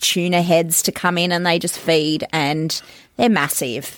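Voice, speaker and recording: Here a woman talks at a fairly slow pace. Her pitch is fairly low. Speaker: volunteer coordinator for marine conservation group. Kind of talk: casual chat. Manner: laughs a lot.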